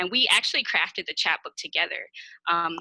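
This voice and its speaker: With a Kansas City accent, a woman speaks at a fairly low pitch and a moderate pace in a bright, sharp tone. The recording is very clean, dry and close, with a silent background and no echo. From Kansas City, Missouri (inner city). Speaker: poet. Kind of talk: interview Q&A.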